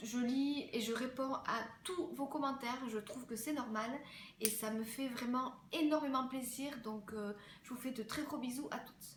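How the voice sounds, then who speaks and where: Noticeable background noise and audible room echo surround a woman who talks at a fairly slow pace with a high pitch and ordinary pitch variation. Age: 20s. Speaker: fashion and beauty vlogger. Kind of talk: casual Q&A vlog. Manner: hesitant, many fillers.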